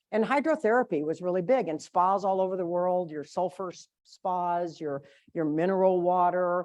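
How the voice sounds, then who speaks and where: A woman with an American accent talks at a moderate pace and medium pitch over a quiet background. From US South. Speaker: conference speaker. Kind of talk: seminar talk. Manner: animated.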